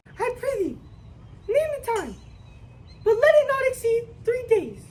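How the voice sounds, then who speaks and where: A woman's squeaky, put-on character voice at an extremely high pitch, with a moderate pace and clear background noise. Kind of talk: student Shakespeare reading. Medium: stage play.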